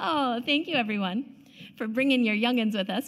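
Pitch moves in an ordinary way here. The voice belongs to a woman. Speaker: meditation leader. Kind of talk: reading aloud. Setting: church.

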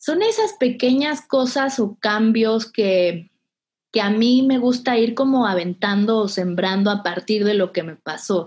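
Against a quiet background, a woman speaks fairly slowly at a fairly high pitch, somewhat breathy, with ordinary pitch variation. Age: 30s. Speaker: breast cancer survivor. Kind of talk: personal testimony. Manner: hesitant, many fillers.

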